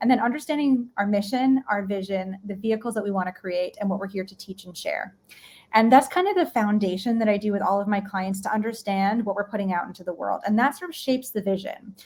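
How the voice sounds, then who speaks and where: A woman with an American accent talks at a very fast pace and a medium pitch with ordinary pitch variation. Her voice is somewhat breathy and shows big swings in loudness. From New York. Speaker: leadership and mindset coach. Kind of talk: live-streamed interview.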